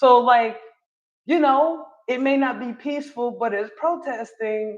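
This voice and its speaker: This woman's voice is high-pitched. Her intonation is lively. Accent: American. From North Carolina (Charlotte). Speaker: live streamer / political commentator. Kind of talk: casual livestream commentary reading chat. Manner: animated, conversational.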